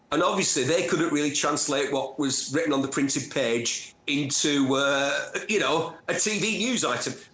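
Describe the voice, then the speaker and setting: With a Manchester accent, a man with a fairly high pitch talks at a moderate pace with hardly any pauses, very even loudness, and ordinary pitch variation, over noticeable background noise and audible room echo. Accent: gritty North Manchester. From northern England, Bury, Lancashire and North Manchester. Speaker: motoring TV presenter and journalist. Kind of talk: interview. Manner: animated storytelling.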